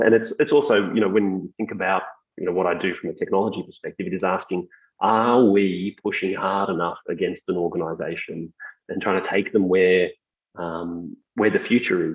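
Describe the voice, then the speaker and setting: At a moderate pace, a man talks. He has an Australian accent. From Australia, Melbourne. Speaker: technology executive. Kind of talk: interview.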